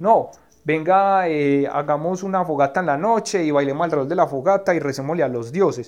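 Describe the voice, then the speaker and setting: In an ordinary speaking voice, a man talks at a fairly quick pace, fairly high in pitch, with ordinary pitch variation. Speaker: political scientist. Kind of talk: interview. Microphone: recorded on his cellphone, clean sound.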